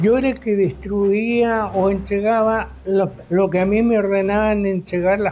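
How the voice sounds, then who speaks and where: Keeping his loudness very even, a man talks in a high voice at a fairly slow pace. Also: hardly any pauses. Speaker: war veteran. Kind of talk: testimony. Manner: halting.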